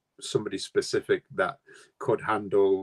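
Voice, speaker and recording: A man with a Mancunian accent at a fairly quick pace, in a dry, close sound with no echo. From Manchester, England. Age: 60s. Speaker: guitarist. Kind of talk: interview.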